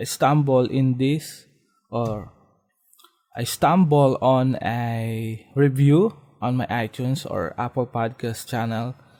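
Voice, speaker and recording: A man with a non-native accent, medium-pitched, with ordinary pitch variation and a very slow pace. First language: Filipino. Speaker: podcast host. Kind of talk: solo podcast monologue. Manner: halting, many fillers and restarts.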